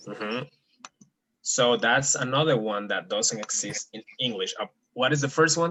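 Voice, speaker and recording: The speaker has a Spanish accent. Long pauses come often. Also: man, medium pitch for a man, ordinary pitch variation. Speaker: Spanish teacher. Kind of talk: language lesson. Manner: slow, clear enunciation.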